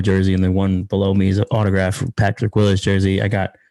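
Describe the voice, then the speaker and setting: Speaking very fast, a man with an American accent has a fairly low pitch and a dark, mellow tone. The sound is dry and close, with no echo. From Philadelphia, Pennsylvania. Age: 30s. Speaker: sports content creator, team commentator. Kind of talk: casual interview chat. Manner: animated, casual with fillers.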